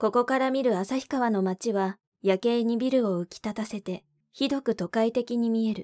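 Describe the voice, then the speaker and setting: A woman talks at a moderate pace in a fairly high, dark, mellow voice. Her tone is calm and her intonation fairly even. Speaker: audiobook narrator. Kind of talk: literary audiobook reading, scripted narration of a novel. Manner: calm, measured, even-paced narration.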